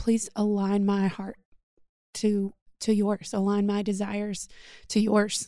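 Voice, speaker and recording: A woman's dark, mellow voice at medium pitch, flat and monotone, very slow, with long, frequent pauses. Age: 30s. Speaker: podcast host. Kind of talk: casual chat.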